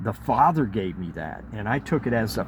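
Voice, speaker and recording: With a fairly low pitch and vocal fry, a man talks at a moderate pace using lively intonation. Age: 60s. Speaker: former member of a religious community giving a testimony. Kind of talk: testimony. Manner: hesitant, many fillers.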